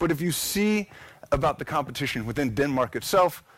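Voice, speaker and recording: A man with an American accent talks at a fairly quick pace in a plain, everyday voice. His pitch sits fairly high, with lively intonation. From United States. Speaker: architect and conference speaker. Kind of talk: conference presentation. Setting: stage with audience.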